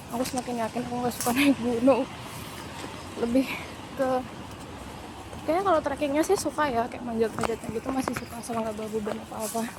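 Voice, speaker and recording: Over noticeable background noise, a woman with a high pitch talks at a very fast pace, with long, frequent pauses and ordinary pitch variation. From Sumatra, Jambi (Tebo). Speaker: travel vlogger. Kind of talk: casual vlog talk. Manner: animated.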